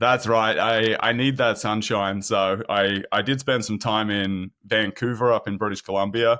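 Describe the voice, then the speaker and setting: Fairly even intonation marks a man's speech in an Australian accent. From Sydney, Australia. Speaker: product marketing manager at a software company. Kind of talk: podcast interview.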